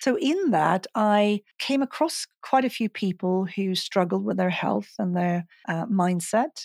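Recorded very cleanly against a silent background, a woman in a Swedish accent speaks with lively intonation and a dry, close sound with no echo. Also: medium pitch for a woman, fairly slow pace. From Sweden, Stockholm. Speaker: hypnotherapist and mindset coach. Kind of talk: casual interview conversation.

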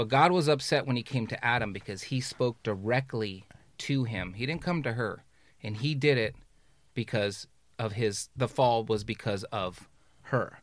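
A plain, everyday voice moves at a moderate pace with ordinary pitch variation. The recording is very clean, with a silent background. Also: man, medium pitch for a man. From Los Angeles area, California. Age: 50s. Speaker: fatherhood and men's leadership influencer. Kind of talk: casual roundtable conversation. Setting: studio.

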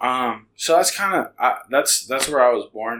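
A man with a Californian accent talks at a fairly slow pace, medium in pitch with ordinary pitch variation. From US West Coast, San Francisco Bay Area (Hayward). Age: 20s. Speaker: church intern and Spanish interpreting ministry coordinator. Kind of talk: casual interview. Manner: halting, many fillers.

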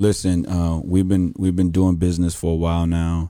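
A man's very deep, low voice with a dark, mellow tone and a Houston accent, flat and monotone, in a very clean recording against a silent background. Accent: Southern US, Houston. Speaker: podcast host. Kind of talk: casual interview chat.

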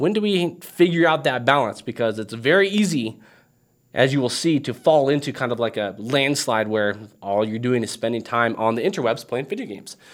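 A man speaks at a fairly quick pace in a medium pitch. His tone is animated and his intonation lively. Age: 30s. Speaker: gaming video host. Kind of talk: casual vlog monologue.

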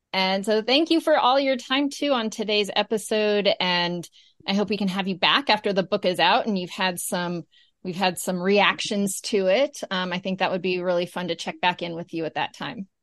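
A woman speaks in an ordinary speaking voice with an American accent, at medium pitch and a moderate pace, with ordinary pitch variation and a dry, close sound with no echo over a quiet background. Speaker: podcast host. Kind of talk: casual interview.

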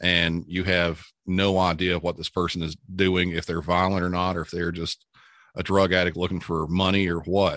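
Over a quiet background, a man speaks at a moderate pace. His pitch is very deep and low, and his intonation is monotone and flat. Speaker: 911 dispatcher and podcaster. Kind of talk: interview. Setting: remote call. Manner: calm.

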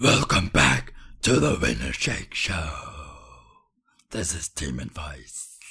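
A man uses a put-on character voice, raspy and at a very deep, low pitch. He goes at a fairly slow pace with long, frequent pauses. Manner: exaggerated growly show-announcer voice.

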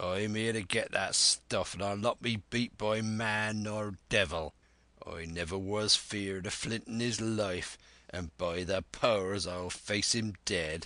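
A man's put-on character voice, fairly low in pitch and fairly slow, against a quiet background. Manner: defiant, blustering.

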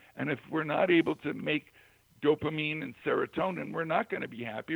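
Speaking at a very fast pace, a man has a fairly high pitch. Vocal fry runs through his voice. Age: 70s. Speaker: firewalking instructor and self-help author. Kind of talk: radio interview.

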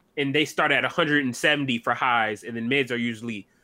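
With an American accent, a man speaks at medium pitch and a moderate pace. His tone is bright and sharp, with ordinary pitch variation. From Michigan. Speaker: podcast co-host. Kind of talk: casual chat. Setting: live stream.

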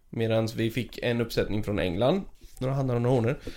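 A man's voice at a medium pitch, dark and mellow in tone. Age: 30s. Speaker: aquarium keeper. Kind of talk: casual chat. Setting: aquarium facility.

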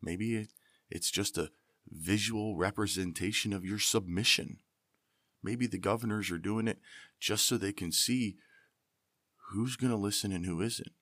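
With an American accent, a man talks at a moderate pace in a fairly low pitch and a bright, sharp tone, keeping his intonation fairly even and taking long, frequent pauses, on a very clean recording with a silent background. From Pennsylvania, US. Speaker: podcast host, author and navy veteran. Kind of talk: angry political rant. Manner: indignant, fired-up, fervent; rambling, improvised.

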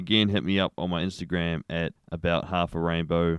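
A man with a New Zealand accent and a very deep, low pitch keeps fairly even intonation, in a dry, close sound with no echo over a quiet background. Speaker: podcast host. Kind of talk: casual solo monologue.

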